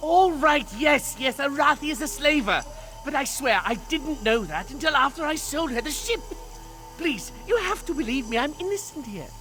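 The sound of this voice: Doing a put-on character voice, a man speaks at a moderate pace with an extremely high pitch, a bright, sharp tone and lively intonation over faint background music.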